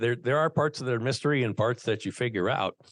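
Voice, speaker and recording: A man with an American accent is heard in a dry, close recording with no echo. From Minnesota, US Midwest. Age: 60s. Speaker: former radio broadcaster and peer addiction coach. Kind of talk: interview, personal testimony. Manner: halting, many repeated words.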